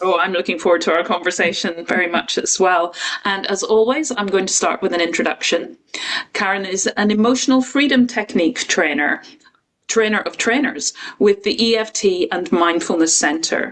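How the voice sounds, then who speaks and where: In a Northern Irish accent, a woman talks at a moderate pace with a medium pitch and lively intonation. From Northern Ireland. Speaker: podcast host. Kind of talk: interview.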